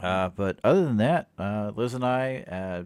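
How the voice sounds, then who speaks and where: Here a man with an ordinary speaking voice and fairly low pitch talks at a fairly slow pace with lively intonation. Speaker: podcast co-host. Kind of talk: casual chat.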